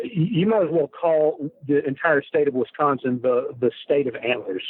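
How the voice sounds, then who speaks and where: A man with a strong Texan accent speaks in a fairly high pitch with lively intonation. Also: moderate pace. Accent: thick Texan. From Texas. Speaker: hunter. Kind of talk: casual interview chat. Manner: halting.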